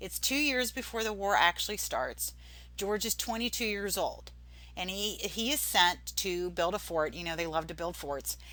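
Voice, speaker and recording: A woman talks at a moderate pace. Some room echo can be heard. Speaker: history teacher. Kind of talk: recorded lecture. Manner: casual, with fillers and restarts.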